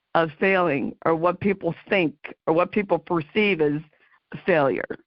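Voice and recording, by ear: In a New Jersey accent, a woman speaks at a fairly low pitch with a dry, close sound and no echo.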